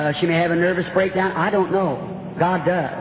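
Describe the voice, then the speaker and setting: A man's high-pitched voice, with audible room echo and light background noise. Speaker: preacher at a healing campaign. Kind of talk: sermon. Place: hall. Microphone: old recording.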